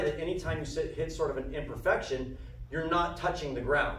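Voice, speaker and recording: A man is speaking in a space with audible room echo. Noticeable background noise is present. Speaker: bike maintenance instructor. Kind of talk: hands-on workshop demonstration. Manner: casual, repetitive fillers.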